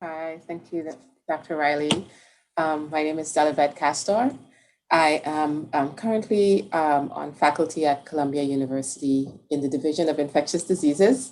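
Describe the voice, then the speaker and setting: A woman with a Caribbean accent, very deep, low pitch, ordinary pitch variation and moderate pace. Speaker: infectious disease researcher. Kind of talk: panel discussion.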